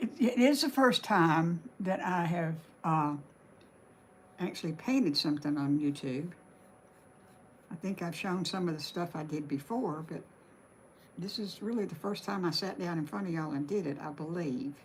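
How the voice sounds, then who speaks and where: In a Southern US accent, a woman talks at a fairly low pitch and a moderate pace. Her speech has long, frequent pauses. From Alabama. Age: 70s. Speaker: craft livestreamer. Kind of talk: live stream painting tutorial chat. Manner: casual, halting.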